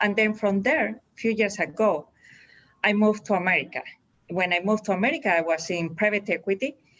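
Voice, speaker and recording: The speaker has a Spanish accent and a fairly quick pace. Pitch varies in an ordinary way. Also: woman, medium pitch for a woman. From Spain. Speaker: executive search director. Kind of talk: interview. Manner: halting, with restarts.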